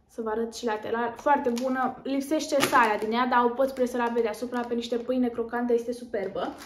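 A woman speaks with a high pitch. Her intonation is fairly even. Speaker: lifestyle vlogger. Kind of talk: haul video chat.

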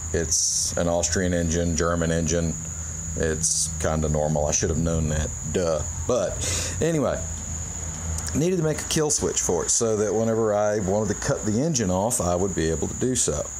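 A man at a moderate pace with ordinary pitch variation and very even loudness, amid noticeable background noise. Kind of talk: casual demonstration. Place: garage. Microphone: phone near.

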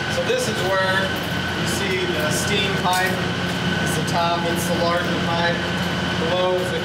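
A man talks at a fairly slow pace with audible room echo. Loud background noise fills the recording. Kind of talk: interview answer. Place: tunnel cave.

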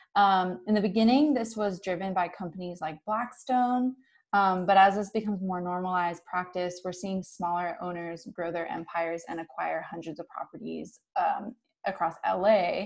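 Using a normal speaking voice, a woman talks at a medium pitch and a moderate pace with ordinary pitch variation. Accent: American. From US South, North Carolina. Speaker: housing research organizer. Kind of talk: webinar presentation. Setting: video call.

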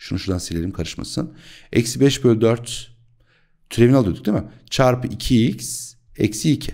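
Against a quiet background, a man speaks at a fairly quick pace. His pitch varies in an ordinary way. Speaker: math teacher. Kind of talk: tutorial. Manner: animated. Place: home room. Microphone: studio mic.

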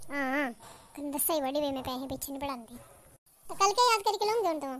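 In a cartoonish character voice, a female-sounding speaker talks at a very fast pace with a high pitch for a woman. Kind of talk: comic cartoon dubbing. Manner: scolding, indignant.

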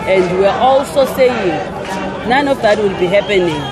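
Someone speaks at a fairly quick pace in a dry sound with no echo, with crowd noise in the background. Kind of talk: interview answer. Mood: firm, determined. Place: street. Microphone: handheld.

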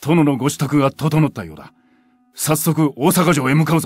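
A man puts on a character voice, fairly high in pitch, with big swings in loudness. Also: moderate pace. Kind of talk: video game character dialogue.

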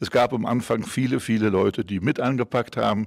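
A man talks at a moderate pace in a fairly low voice with vocal fry and ordinary pitch variation. The background is quiet. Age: 80s+. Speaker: honorary club official; club honorary council member, interviewee. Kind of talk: interview.

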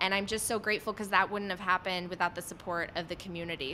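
Over light background noise, a woman with a General American accent talks in a bright, sharp tone with fairly even intonation. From Poland, raised in Illinois. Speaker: podcast host and former TV journalist; podcast host, former TV journalist. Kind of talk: interview on audio chat. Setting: online audio room. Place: home room. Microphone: studio mic.

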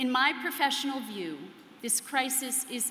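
Over light background noise and audible room echo, the speech goes at a fairly slow pace. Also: woman. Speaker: conference speaker, psychoanalyst. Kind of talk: prepared keynote speech. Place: hall. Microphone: podium.

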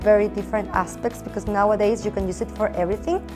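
Clear music plays in the background behind a voice with a Mexican accent. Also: woman. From Mexico. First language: Spanish. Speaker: former teacher and recent MBA graduate. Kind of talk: interview answer. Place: meeting room. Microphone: lapel.

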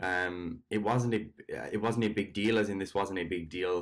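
Very deep and low, a man's voice moves with fairly even intonation. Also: quiet background. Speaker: fitness coach. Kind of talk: casual vlog chat. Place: home room. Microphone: webcam.

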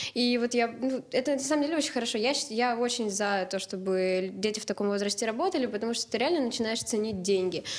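Her fairly high voice racing along at a very fast pace, a woman speaks with very even loudness and hardly any pauses. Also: ordinary pitch variation. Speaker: university student; talk show guest. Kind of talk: studio discussion. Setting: TV studio. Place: studio. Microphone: handheld.

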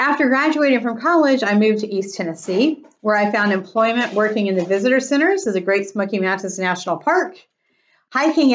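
A woman speaks at a fairly quick pace. The background is quiet. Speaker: presenter. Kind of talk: presentation talk. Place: home room. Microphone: webcam.

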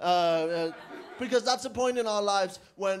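Over light background noise, a man with a Danish accent talks at a fairly quick pace with ordinary pitch variation. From Denmark. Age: 20s. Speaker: comedian. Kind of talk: stand-up. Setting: stage with audience. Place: cafe.

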